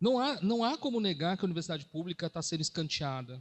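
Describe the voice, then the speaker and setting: Very wide pitch swings mark this man's voice, which sits at a high pitch. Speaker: professor. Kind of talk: panel debate. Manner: fast.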